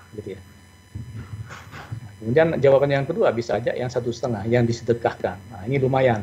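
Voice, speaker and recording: A man's medium-pitched voice at a fairly quick pace, with ordinary pitch variation, big swings in loudness and audible room echo. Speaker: accounting professor. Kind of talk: lecture. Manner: fast.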